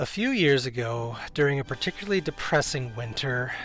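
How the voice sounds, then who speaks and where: A man's fairly high voice at a fairly quick pace, with music in the background. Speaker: YouTube documentary maker. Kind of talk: documentary narration.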